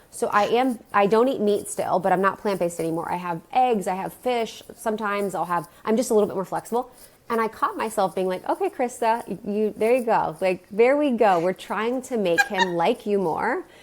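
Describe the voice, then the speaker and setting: Delivered at a fairly quick pace, the speech has a plain, everyday voice and ordinary pitch variation. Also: woman, fairly high pitch for a woman. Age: 30s. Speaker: wellness podcast host, guest. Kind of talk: casual chat.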